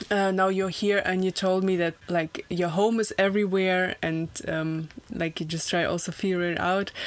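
A woman with a German accent speaks at a fairly slow pace over noticeable background noise. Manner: animated, enthusiastic.

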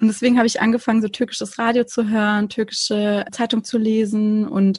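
Against noticeable background noise, a woman with a fairly high pitch talks at a very fast pace. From Konstanz, southern Germany (Turkish family). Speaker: podcaster. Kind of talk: casual chat.

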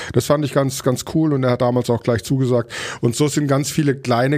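In a plain, everyday voice, a man talks at a fairly quick pace with fairly even intonation. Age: 40s. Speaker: chef and restaurateur. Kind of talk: casual interview.

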